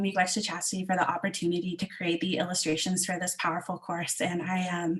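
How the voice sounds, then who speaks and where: Somewhat breathy woman at medium pitch and a fairly quick pace. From Southwestern Ontario, Canada. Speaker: illustrator and children's book author. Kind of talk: online event presentation. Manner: halting, many fillers.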